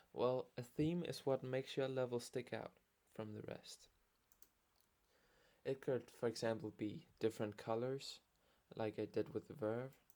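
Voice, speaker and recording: This man has a medium pitch and a dark, mellow tone, speaking at a fairly slow pace with fairly even intonation and long, frequent pauses. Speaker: level creator and tutorial maker. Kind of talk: tutorial voice-over. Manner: occasional stuttering.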